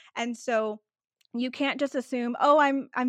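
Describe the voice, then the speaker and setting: With a Texan accent, the speaker goes at a fairly slow pace, the sound dry and close with no echo against a quiet background. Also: woman. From Texas. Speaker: vacation planner. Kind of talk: casual interview chat.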